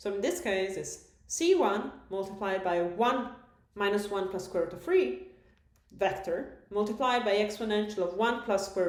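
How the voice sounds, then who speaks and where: Audible room echo surrounds the woman who is speaking. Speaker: math lecturer. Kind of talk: recorded lecture.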